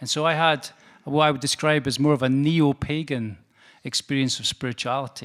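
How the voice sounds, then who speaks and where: Fairly even intonation marks this man's speech in a northeastern Scottish accent. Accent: Scottish northeast. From Scotland, Perth. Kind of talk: lecture. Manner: hesitant, with fillers.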